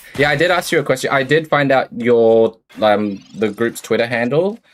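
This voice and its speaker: A man with an Australian accent talks with ordinary pitch variation on a very clean recording with a silent background. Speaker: game streamer. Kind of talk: casual live stream chat. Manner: low-pitched, subdued; casual, halting with restarts.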